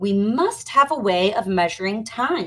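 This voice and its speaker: A female-sounding voice puts on a growling character voice at a fairly high pitch and a moderate pace. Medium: read story.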